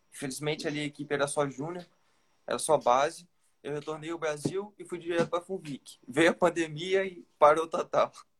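A man speaks in a normal speaking voice at a fairly high pitch and a fairly quick pace. His intonation is fairly even, with big swings in loudness. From Brazil, interior of Rio de Janeiro state. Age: young. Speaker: young road cyclist. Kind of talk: interview. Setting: live stream on Instagram.

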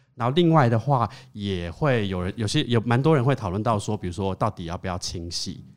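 An unremarkable speaking voice from a man, fairly low in pitch with lively intonation, on a very clean recording with a silent background. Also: fairly quick pace. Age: 30s. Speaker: LGBT hotline volunteer. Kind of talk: casual chat.

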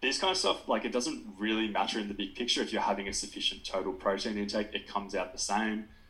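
Hardly pausing at all, a man rattles along at a very fast pace. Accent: Australian. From New South Wales south coast, Australia. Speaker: sports dietitian. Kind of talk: podcast interview.

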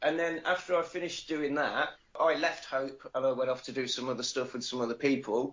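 A man speaks with an English Midlands accent at a fairly quick pace. His pitch varies in an ordinary way. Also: fairly high pitch for a man. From English Midlands (Nuneaton, Warwickshire). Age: 40s. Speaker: wrestler and podcaster. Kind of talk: casual interview. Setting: Skype call.

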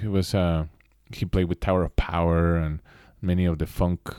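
Man with a Mexican accent, very deep, low pitch, dry, close sound with no echo, and a very clean recording with a silent background. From Mexico City. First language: Spanish. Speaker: instrumental rock guitarist. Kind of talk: casual interview chat.

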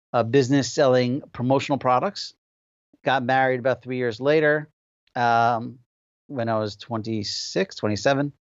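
A man speaks with a New Jersey accent. He keeps a moderate pace and ordinary pitch variation. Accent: New Jersey American. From New Jersey, Passaic. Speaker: software company founder. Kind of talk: interview.

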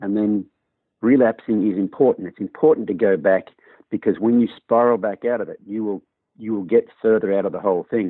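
Fairly quick in pace, a man speaks with an Australian accent. His pitch is fairly low and his intonation fairly even. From Australia, rural New South Wales. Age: 50s. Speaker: horse trainer. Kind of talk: interview. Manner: fast.

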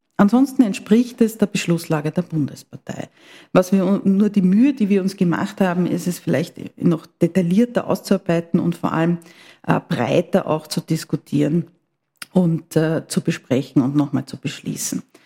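A woman speaks at a moderate pace with lively intonation, her pitch fairly low and her voice somewhat breathy. The tone is dark and mellow, and the sound is dry and close with no echo. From Austria, Vienna. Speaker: politician, party secretary. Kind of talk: interview. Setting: party headquarters office, mobile studio. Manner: formal.

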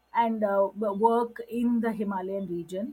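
Somewhat breathy, a woman with a fairly high pitch speaks at a very slow pace. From Middle East, Gujarati family. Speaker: social worker and environmental activist. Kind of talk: talk. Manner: hesitant, many fillers.

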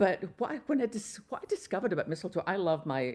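The voice, in a Scottish accent, moves through very wide pitch swings. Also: woman. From Scotland. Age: 60s. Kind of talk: radio interview. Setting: remote from Texas.

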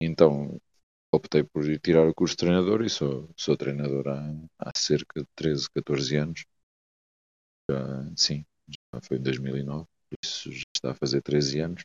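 A man speaks at a very deep, low pitch with fairly even intonation. His pace is fairly slow, with long, frequent pauses. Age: 30s. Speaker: futsal coach. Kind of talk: casual chat.

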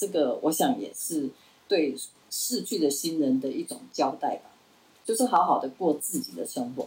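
This woman has a very deep, low pitch. Her pitch swings very widely. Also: moderate pace. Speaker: retired professor. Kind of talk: interview.

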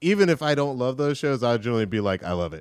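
A man's very fast speech on a very clean recording with a silent background. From Atlanta. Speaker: TV writer. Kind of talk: casual chat.

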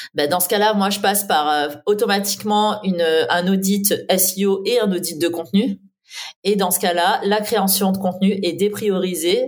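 In a plain, everyday voice, a woman speaks fairly slowly at a medium pitch with fairly even intonation. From southeastern France. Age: 30s. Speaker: SEO and content agency owner. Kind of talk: interview.

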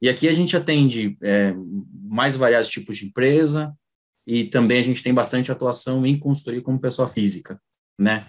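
A man's voice sits at a medium pitch with ordinary pitch variation, moving at a moderate pace. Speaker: accountant. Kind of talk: online workshop talk. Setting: video call. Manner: halting.

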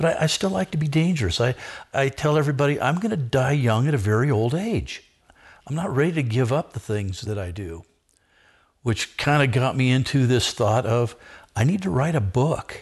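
In a somewhat breathy voice with an American accent, someone talks at a moderate pace with lively intonation over a quiet background. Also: man, medium pitch for a man. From Southern California, Orange County. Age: 60s. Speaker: men's ministry leader. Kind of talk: casual chat.

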